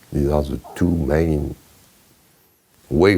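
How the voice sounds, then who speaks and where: A man speaks in a French accent. His pace is very slow. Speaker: chemistry professor emeritus. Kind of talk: interview answer. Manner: humorous, humble.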